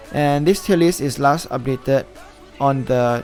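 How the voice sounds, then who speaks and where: With music in the background, a man speaks at a medium pitch with a non-native accent. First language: not English. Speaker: gaming YouTuber. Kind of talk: casual gaming commentary to camera. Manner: hesitant, some stuttering.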